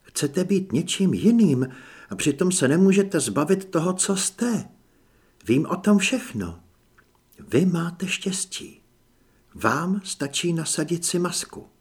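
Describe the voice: A man uses a put-on character voice with a high pitch and lively intonation. His tone is slightly mellow, with a slightly husky edge.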